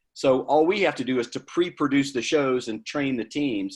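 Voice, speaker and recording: A man talks with a Southern US accent. The recording is very clean, with a silent background. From US South, Georgia. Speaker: charity leader, guest speaker. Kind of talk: Q&A at a club meeting.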